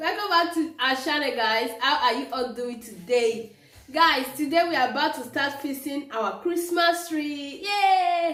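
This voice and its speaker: A woman's raised, projected voice carries ordinary pitch variation through audible room echo. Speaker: lifestyle vlogger. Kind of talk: casual vlog chat.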